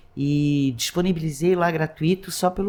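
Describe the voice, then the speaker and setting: A woman speaks at a fairly slow pace, with ordinary pitch variation. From Blumenau, Santa Catarina, southern Brazil. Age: 60s. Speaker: lawyer and social activist. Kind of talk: interview conversation. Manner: animated, halting with many restarts.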